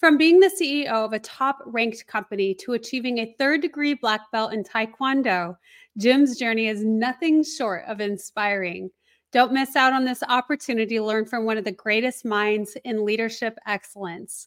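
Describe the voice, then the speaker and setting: Her fairly high voice carries an enthusiastic tone as this woman speaks at a moderate pace with ordinary pitch variation, recorded dry and close with no echo. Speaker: podcast host. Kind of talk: interview.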